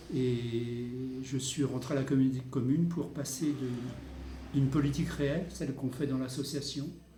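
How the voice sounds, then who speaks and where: Audible room echo and noticeable background noise surround a man speaking at medium pitch. He keeps a moderate pace and fairly even intonation. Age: 60s. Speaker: local councillor. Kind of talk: interview. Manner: halting.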